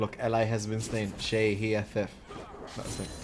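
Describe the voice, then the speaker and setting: A man speaks at a moderate rate while music plays in the background. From Malta. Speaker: esports tournament caster. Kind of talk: live commentary. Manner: animated.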